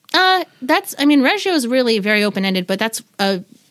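A woman with an American accent speaks at a fairly quick pace. Her pitch swings very widely. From Pacific Northwest, US (Washington). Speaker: artist and preschool teacher. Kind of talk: casual interview.

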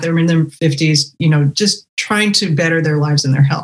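Breath is somewhat audible in this voice. The pace stays moderate. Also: woman. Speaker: podcast host. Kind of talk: interview chat.

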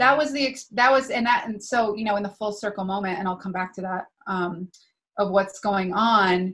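With an unremarkable speaking voice, a woman talks at a moderate pace in a medium pitch with ordinary pitch variation. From US Northeast, New Hampshire. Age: 30s. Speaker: spiritual teacher and healer. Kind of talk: casual interview conversation.

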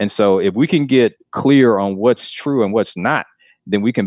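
A man's plain, everyday voice at a moderate pace, with ordinary pitch variation. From US South, Clarkston near Atlanta, Georgia. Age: 30s. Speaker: nonprofit CEO in youth mentoring. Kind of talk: interview.

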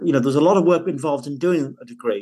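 A man with a northern English accent talks at a very fast pace, his fairly high pitch moving with ordinary variation. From northern England. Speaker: divorced father. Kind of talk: interview.

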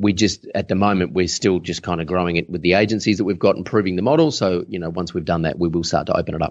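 Someone speaks with an Australian accent over a quiet background. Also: man. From Adelaide, South Australia. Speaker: online business coach. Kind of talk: casual interview.

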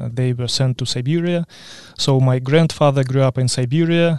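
The man's medium-pitched voice comes at a moderate pace, with a dry, close sound and no echo. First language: Ukrainian or Russian. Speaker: agronomy support specialist. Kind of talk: interview. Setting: studio.

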